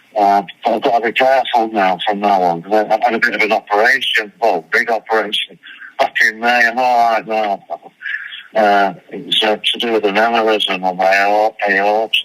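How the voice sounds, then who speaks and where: A man with a fairly low pitch amid noticeable background noise. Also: fairly even intonation, moderate pace. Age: 60s. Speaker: rock drummer. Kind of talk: interview. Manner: halting.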